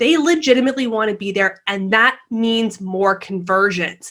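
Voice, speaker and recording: An animated, fairly high-pitched woman at a moderate pace. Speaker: social media marketing expert. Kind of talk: webinar presentation.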